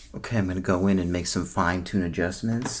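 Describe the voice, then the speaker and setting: A man speaks softly in a very deep, low voice. His tone is calm. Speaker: ASMR creator doing a roleplay. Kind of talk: ASMR roleplay as a screen technician, soft-spoken address to the viewer. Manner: soft-spoken, calm.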